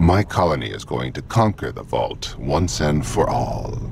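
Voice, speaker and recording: A man performs a put-on character voice. Clear background noise runs behind him. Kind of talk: villainous monologue, mock-grandiose. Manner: pompous, menacing, archaic.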